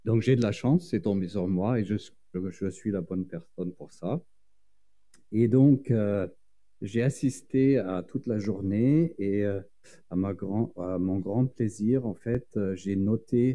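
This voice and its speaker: Slowly, at a very slow pace, a man with a fairly low pitch and a dark, mellow tone speaks with ordinary pitch variation and long, frequent pauses. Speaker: urban planning professor. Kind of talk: conference talk. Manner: hesitant, many fillers.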